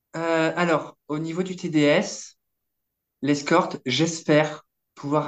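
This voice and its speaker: A woman speaks at a very slow pace. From Eastern Europe. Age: 30s. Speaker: escort and adult film actress. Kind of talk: casual interview.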